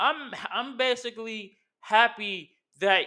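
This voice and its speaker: A man speaks in a furious tone, his voice raised and projected. The recording is very clean, with a silent background. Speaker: wrestling podcast host. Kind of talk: angry rant, profane wrestling fan tirade. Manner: furious, loud, punchy and combative, scolding fans; casual, chatty, slangy.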